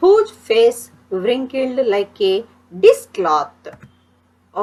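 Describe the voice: This is plain reading aloud. Nothing else stands out in the delivery.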